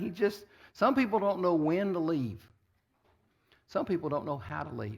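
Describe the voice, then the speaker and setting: Lively intonation in a man's voice pitched high. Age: 60s. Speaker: pastor. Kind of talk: sermon.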